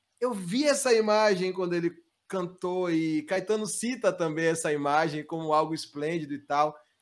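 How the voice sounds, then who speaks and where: On a very clean recording with a silent background, a man with a Bahian accent speaks in a high pitch with ordinary pitch variation. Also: moderate pace. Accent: Bahian Brazilian Portuguese. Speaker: musician. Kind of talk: interview.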